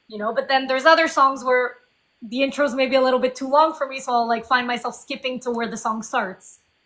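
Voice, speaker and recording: A woman talks at a fairly quick pace in a French Canadian accent. Her voice is high-pitched, with a bright, sharp tone. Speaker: indie singer-songwriter. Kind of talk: interview.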